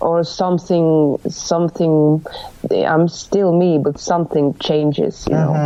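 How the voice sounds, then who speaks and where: A woman with a Finnish accent speaks at a fairly low pitch with fairly even intonation and very even loudness. Noticeable background noise sits behind her. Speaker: rock band lead singer. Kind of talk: casual interview. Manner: halting, searching for words.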